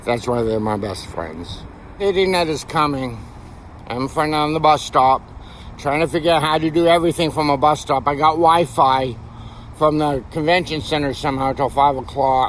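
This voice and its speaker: Noticeable background noise surrounds a man speaking at a moderate pace. His pitch is fairly high, with ordinary variation. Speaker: artist and homeless vlogger with schizophrenia. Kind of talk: personal video diary. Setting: outdoors at a bus stop.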